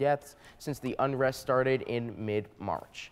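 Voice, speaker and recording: Recorded very cleanly against a silent background, a man with an ordinary speaking voice talks at a moderate pace with ordinary pitch variation. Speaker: news anchor (demo reel). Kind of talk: TV news anchor read. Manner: clear, polished, professional.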